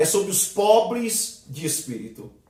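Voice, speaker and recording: This man talks at a high pitch with a Brazilian accent. The room echoes audibly, and background noise is noticeable. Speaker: theology teacher. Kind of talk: lecture.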